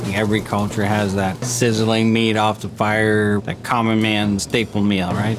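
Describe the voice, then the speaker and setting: Background noise is noticeable and room echo audible as a man speaks at a fairly low pitch with monotone, flat intonation. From Iran. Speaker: head chef. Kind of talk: documentary interview.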